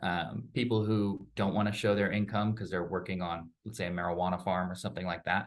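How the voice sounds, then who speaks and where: A man with a very deep, low pitch talks at a fairly quick pace, with hardly any pauses and fairly even intonation. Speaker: loan officer. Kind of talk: interview. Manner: fast.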